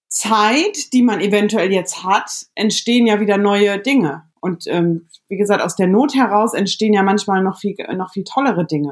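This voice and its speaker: Ordinary pitch variation and a moderate pace mark this woman's delivery in a plain, everyday voice at a medium pitch. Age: 30s. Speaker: podcast host. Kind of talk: casual chat. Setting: remote call from home bedroom.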